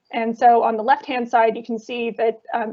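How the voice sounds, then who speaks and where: With an American accent, a woman speaks at a fairly quick pace in a fairly high pitch. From United States. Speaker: academic researcher. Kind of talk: conference talk presentation. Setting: online video event. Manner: frequent filler words, hesitant.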